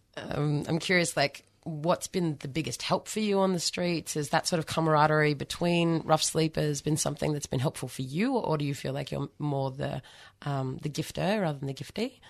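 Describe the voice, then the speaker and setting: Against a quiet background, a woman with an Australian accent speaks at a moderate pace in a very deep, low pitch, with ordinary pitch variation. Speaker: community radio host. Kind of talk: radio interview; radio announcements. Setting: radio studio.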